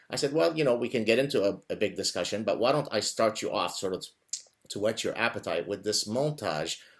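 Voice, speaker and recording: With an Arabic accent, a man talks at a fairly quick pace with lively intonation. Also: medium pitch for a man. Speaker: interview show host. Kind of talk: interview.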